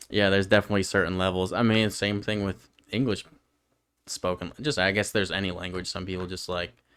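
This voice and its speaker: With an American accent, a man talks at a very fast pace. His voice is very deep and low, with fairly even intonation. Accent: New York accent, noticed by others. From northern New York. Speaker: podcast co-host. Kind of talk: casual chat.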